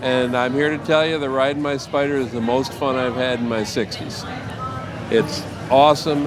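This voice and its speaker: With an American accent, a man speaks at a moderate pace and with fairly even intonation, with audible room echo and noticeable background noise. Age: 60s. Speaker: military veteran and trike rider. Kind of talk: casual interview.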